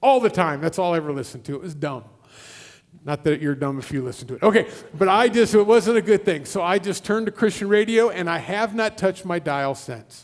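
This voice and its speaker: A very fast man's voice, high-pitched, with lively intonation and a Midwestern US accent. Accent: US Midwest. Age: 60s. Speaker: guest preacher. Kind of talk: sermon. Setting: church.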